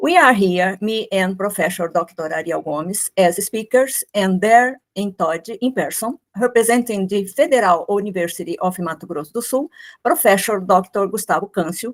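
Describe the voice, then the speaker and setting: Lively intonation runs through this delivery with hardly any pauses, in a dry, close sound with no echo. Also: woman, medium pitch for a woman, moderate pace. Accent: Brazilian Portuguese. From Brazil. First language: Portuguese. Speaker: architect and professor. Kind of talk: academic presentation. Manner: formal.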